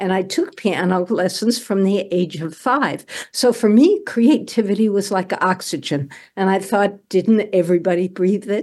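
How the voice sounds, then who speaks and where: A woman speaks in a normal speaking voice with an American accent, at medium pitch, with ordinary pitch variation and a moderate pace, over a quiet background. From New York City, Greenwich Village. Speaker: poet and money coach. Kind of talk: casual chat.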